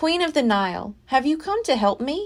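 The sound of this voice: A woman performs a put-on character voice, high in pitch with very wide swings. She keeps a moderate pace.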